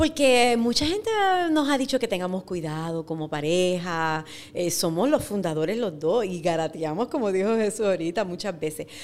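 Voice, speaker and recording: With a lively, varied intonation, an unremarkable speaking voice delivers its words at a moderate pace. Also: woman, medium pitch for a woman. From Puerto Rico, Ciales. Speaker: agri-food entrepreneur, former teacher. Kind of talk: interview.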